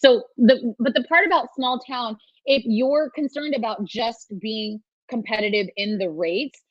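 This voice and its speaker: A woman with a Californian accent speaks in a high pitch with lively intonation. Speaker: trademark lawyer. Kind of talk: webinar talk with Q&A. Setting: virtual summit video call. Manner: casual, fast with many restarts.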